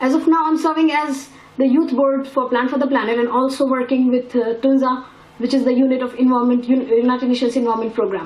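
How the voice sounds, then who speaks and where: Speaking very fast at a high pitch, a woman keeps a very even loudness amid audible room echo and noticeable background noise. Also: fairly even intonation. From India. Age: 19. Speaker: youth climate activist. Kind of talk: press conference statement. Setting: press conference.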